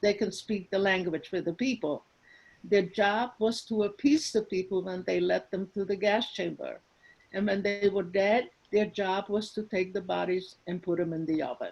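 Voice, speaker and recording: This woman has a medium pitch with ordinary variation. Her pace is moderate. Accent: Hungarian. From Hungary. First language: Hungarian. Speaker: Holocaust survivor. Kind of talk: testimony.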